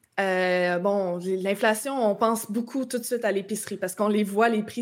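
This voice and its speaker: At a moderate pace, a woman talks in an unremarkable speaking voice with fairly even intonation. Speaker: political commentator. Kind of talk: casual political discussion.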